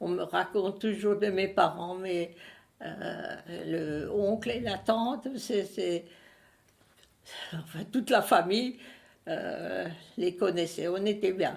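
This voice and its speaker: A woman's medium-pitched voice with vocal fry, ordinary pitch variation, a very slow pace and long, frequent pauses. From Alsace, Strasbourg area. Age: 90s. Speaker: elderly witness. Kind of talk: interview testimony. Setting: at her home. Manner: halting.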